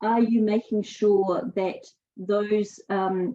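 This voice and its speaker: A woman with a New Zealand accent. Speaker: sustainability speaker. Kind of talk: webinar presentation. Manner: halting, many fillers.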